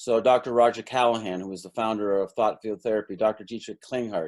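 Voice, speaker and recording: On a very clean recording with a silent background, a man with a Canadian accent talks at a very fast pace with ordinary pitch variation. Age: 60s. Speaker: energy healing practitioner and stockbroker coach. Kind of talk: interview.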